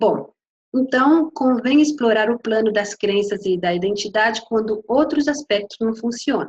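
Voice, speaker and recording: At a moderate pace, the somewhat breathy voice carries lively intonation and a slight Spanish accent in a dry, close sound with no echo. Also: woman. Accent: Spanish-tinged Portuguese. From Brazil. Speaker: coach and lecturer. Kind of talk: lecture. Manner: hesitant, many fillers.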